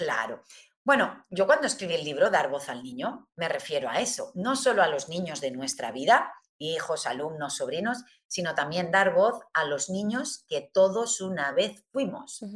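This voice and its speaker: A woman with a medium pitch speaks in a somewhat breathy voice at a fairly slow pace. Her pitch swings very widely. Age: 50s. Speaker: humanistic therapist. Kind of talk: interview.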